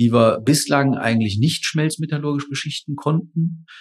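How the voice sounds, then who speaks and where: Somewhat breathy, the man's voice sits fairly high in pitch. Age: 40s. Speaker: engineering professor. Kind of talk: interview. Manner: hesitant fillers (äh, ähm).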